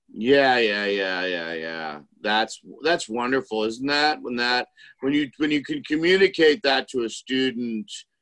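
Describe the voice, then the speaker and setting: A man with an American accent, medium pitch, lively intonation and a bright, sharp tone. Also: dry, close sound with no echo. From New York City. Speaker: improv teacher and actor. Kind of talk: interview.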